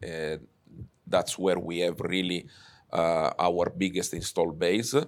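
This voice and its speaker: A man with an Italian accent speaks fairly slowly at a very deep, low pitch, recorded very cleanly against a silent background. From Sicily, Italy. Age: 50s. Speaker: telecom executive. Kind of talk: interview. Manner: hesitant, many fillers.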